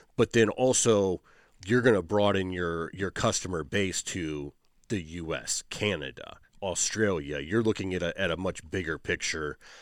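In a very clean recording with a silent background, a man speaks with a very deep, low pitch and an American accent. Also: ordinary pitch variation. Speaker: podcast host and equipment business owner. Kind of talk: casual interview. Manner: fast talker.

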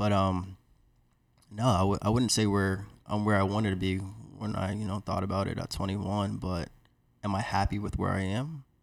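A man with a plain, everyday voice, fairly low pitch, fairly even intonation and moderate pace, on a very clean recording with a silent background. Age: 20s. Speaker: private equity investor. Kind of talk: casual chat.

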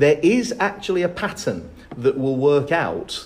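A somewhat breathy man with a fairly high pitch. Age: 50s. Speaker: maths teacher. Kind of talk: casual chat.

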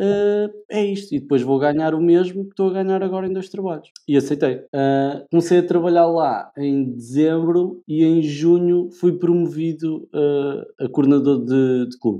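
With a central Portugal accent, a man speaks at a moderate pace with hardly any pauses, his fairly high voice dark and mellow in tone and ordinary in pitch variation. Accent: European Portuguese, central Portugal. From Portugal, Leiria. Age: 20s. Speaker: branding and communication specialist. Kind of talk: casual interview chat.

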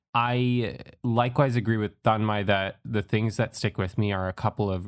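Over a very clean recording with a silent background and a dry, close sound with no echo, a man with a plain, everyday voice speaks at a fairly low pitch with fairly even intonation. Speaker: film podcast host. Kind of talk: casual chat.

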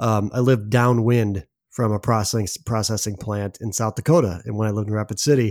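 In an ordinary speaking voice, a man talks at a fairly quick pace with a fairly low pitch and fairly even intonation. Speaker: podcast host. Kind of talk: casual chat.

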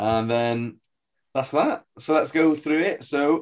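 Over a silent background in a very clean recording, a man with an unremarkable speaking voice and medium pitch talks at a moderate pace with lively intonation. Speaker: podcast host. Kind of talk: casual chat.

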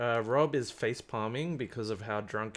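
The man's pitch is fairly low, with ordinary variation. He speaks at a fairly slow pace over a quiet background. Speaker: podcast host. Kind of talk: casual chat. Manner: animated, jokey.

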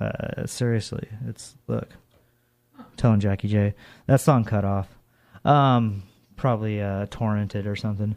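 A man's fairly low voice at a fairly slow pace, with fairly even intonation, big swings in loudness, and long, frequent pauses. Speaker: college radio DJ. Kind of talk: radio DJ patter. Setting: college radio studio. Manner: rambling, chatty, off-the-cuff and jokey, with fillers and tangents between songs; casual, irreverent.

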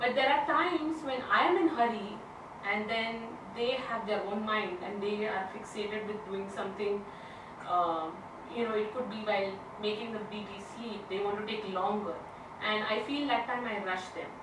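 Against noticeable background noise, a woman talks at a fairly high pitch. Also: ordinary pitch variation, moderate pace. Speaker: audience member asking questions. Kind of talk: question in class.

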